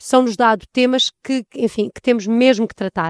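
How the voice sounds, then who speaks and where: High-pitched woman's voice, a very clean recording with a silent background and a dry, close sound with no echo. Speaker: EU information centre coordinator. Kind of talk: interview. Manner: halting.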